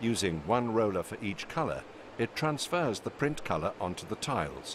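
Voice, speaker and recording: With a British accent, a man talks at a moderate pace and medium pitch, his voice showing vocal fry and very wide pitch swings. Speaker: narrator. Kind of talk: corporate narration.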